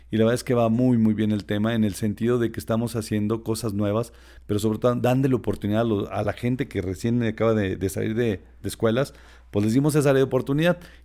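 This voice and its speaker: On a very clean recording with a silent background, a man talks at a very fast pace. His medium-pitched voice has a dark, mellow tone and fairly even intonation. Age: 40s. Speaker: tourism entrepreneur. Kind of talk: casual interview.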